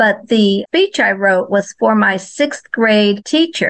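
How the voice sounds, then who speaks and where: A woman with an American accent and a plain, everyday voice speaks at a fairly slow pace in a fairly high pitch with ordinary pitch variation. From New Jersey and Florida. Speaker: children's author. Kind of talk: interview.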